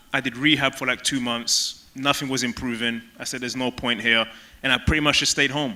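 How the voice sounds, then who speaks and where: In a London accent, a man delivers his words in a bright, sharp tone with monotone, flat intonation. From London, England (Tottenham). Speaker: former pro soccer player. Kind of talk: stage interview.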